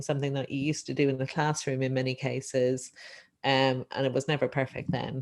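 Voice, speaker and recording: This woman has a very deep, low pitch and an Irish accent. She speaks at a fairly quick pace. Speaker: economics lecturer, session chair. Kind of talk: panel discussion, webinar. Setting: Zoom webinar live-streamed.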